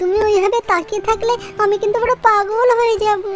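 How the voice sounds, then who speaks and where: A woman puts on a cartoonish character voice at a moderate pace. Music plays in the background. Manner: cheeky, boastful.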